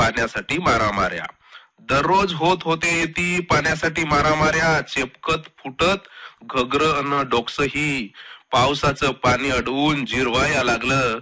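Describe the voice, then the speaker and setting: A man with a plain, everyday voice and fairly high pitch. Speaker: poet. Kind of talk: poetry reading. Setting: radio studio.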